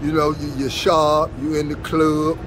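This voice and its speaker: Through noticeable background noise comes a man's fairly high-pitched voice. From Chicago. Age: 60s. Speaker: former pimp. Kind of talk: casual interview answer, street slang.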